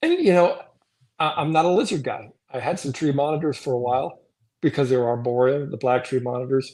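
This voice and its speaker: In a normal speaking voice, a man talks at a fairly quick pace with fairly high pitch and ordinary pitch variation over a quiet background. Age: 60s. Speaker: reptile breeder. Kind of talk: casual chat.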